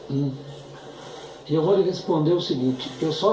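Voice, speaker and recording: A man with a fairly high voice is heard through audible room echo and noticeable background noise. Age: 70s. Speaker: economist witness. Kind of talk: testimony. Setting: impeachment trial hearing. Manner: halting.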